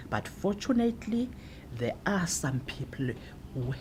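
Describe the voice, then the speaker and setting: A woman with a South African accent talks at a fairly slow pace. Her voice is somewhat breathy, with lively intonation. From South Africa, Eastern Cape (Alice). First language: Xhosa. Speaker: translator. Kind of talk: interview.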